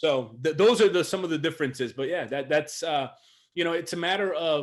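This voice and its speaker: Against a quiet background, a man talks at a fairly quick pace. His pitch is fairly high, with ordinary pitch variation. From US, Puerto Rican family, raised in a city. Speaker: leadership coach. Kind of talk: interview. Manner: loud; halting, many repeats.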